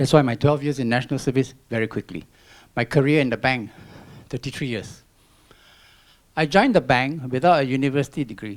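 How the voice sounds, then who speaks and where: A man with a Singaporean accent at a fairly quick pace, on a very clean recording with a silent background. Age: 60s. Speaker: environmental volunteer and retired banker. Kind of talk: public talk. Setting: stage with audience.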